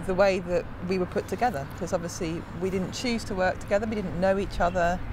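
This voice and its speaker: Against noticeable background noise, a woman speaks with medium pitch and ordinary pitch variation. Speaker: creative lab participant. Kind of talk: interview reflection. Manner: hesitant.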